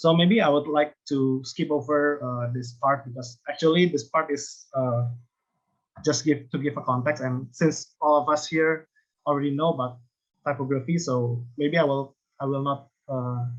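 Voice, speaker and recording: A man with an Indonesian accent, fairly high pitch, fairly even intonation and a moderate pace. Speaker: design lecturer. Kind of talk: conference presentation. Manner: halting, many hesitations.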